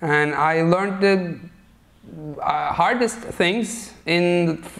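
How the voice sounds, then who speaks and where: A man speaks with a Turkish accent. His pitch is high and his intonation fairly even. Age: 30s. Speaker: talk show host. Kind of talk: casual chat.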